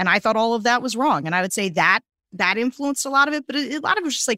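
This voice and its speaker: With an American accent, this voice has a bright, sharp tone and very wide pitch swings, recorded very cleanly with a silent background and a dry, close sound with no echo. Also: woman. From Pennsylvania, US. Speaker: political strategist. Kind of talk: interview. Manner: halting.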